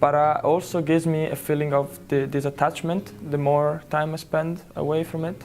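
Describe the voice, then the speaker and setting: With an Italian accent, a man speaks at a moderate pace with hardly any pauses, his fairly high voice following fairly even intonation over noticeable background noise. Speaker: interviewee living abroad. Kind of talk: interview answer. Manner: halting.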